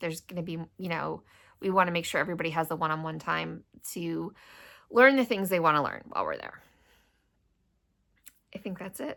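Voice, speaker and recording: A woman's raspy, put-on character voice at a fairly low pitch, fairly quick in pace yet broken by long, frequent pauses. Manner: talking fast.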